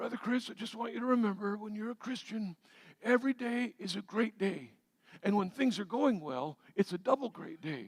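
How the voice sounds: A put-on character voice, raspy and hoarse, with lively intonation, big swings in loudness and a moderate pace, in a dry, close sound with no echo. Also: man, high pitch for a man.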